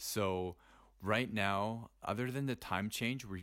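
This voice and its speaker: On a very clean recording with a silent background, a man talks at a fairly slow pace with fairly even intonation. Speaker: expat interviewee. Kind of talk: casual interview. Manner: halting, many fillers.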